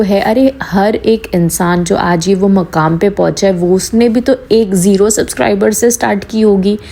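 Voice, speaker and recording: A woman talks at a fairly slow pace in an animated tone, her medium pitch showing ordinary variation. Noticeable background noise runs behind her. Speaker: YouTube commentary vlogger. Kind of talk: casual commentary monologue.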